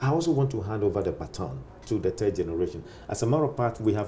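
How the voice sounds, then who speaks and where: A man of medium pitch with a dark, mellow, somewhat breathy tone talks at a very fast pace with lively intonation. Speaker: pastor. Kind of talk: interview.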